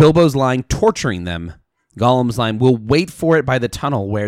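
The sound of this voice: Lively intonation fills this unforced reading voice. Behind it, the background stays quiet.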